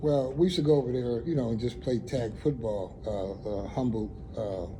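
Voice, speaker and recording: A man with an American accent at medium pitch, ordinary pitch variation and a moderate pace, with audible room echo. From US Northeast (Buffalo, New York, East Side). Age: 70s. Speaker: community elder. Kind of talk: oral history interview. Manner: conversational, hesitant with fillers.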